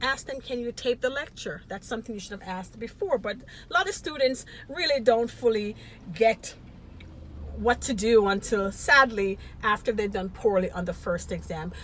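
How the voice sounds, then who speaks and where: A woman with a fairly high voice talks at a moderate pace, her pitch varying in an ordinary way while her loudness swings widely over noticeable background noise. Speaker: nursing educator. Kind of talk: educational talk to camera.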